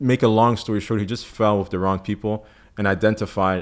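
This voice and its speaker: A man in a French accent at a moderate pace, his intonation fairly even, in a very clean recording with a silent background. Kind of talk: interview testimony. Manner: hesitant, many fillers and repetitions.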